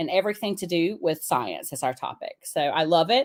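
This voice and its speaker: This woman has a Southern US accent and a medium pitch. She talks at a fairly quick pace with lively intonation. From US South, upstate South Carolina (Pickens). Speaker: teacher. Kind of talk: casual chat.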